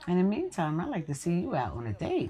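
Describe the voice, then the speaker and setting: Over light background noise, a woman with a dark, mellow, somewhat breathy tone speaks at a moderate pace with very wide pitch swings. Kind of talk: scripted drama dialogue. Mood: warm, teasing advice. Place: home room.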